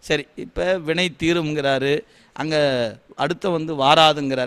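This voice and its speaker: A man talks in a plain, everyday voice. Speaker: Shaiva devotional teacher giving a discourse. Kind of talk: devotional discourse, speech to an audience answering a question. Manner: explanatory, conversational yet reverent.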